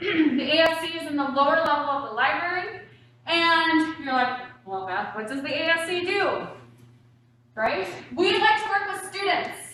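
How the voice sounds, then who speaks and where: A woman speaks in an animated, raised, projected voice at an extremely high pitch, her pitch swinging very widely. Noticeable background noise and audible room echo fill the recording. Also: moderate pace. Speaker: university academic support director. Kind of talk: presentation to prospective students. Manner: loud.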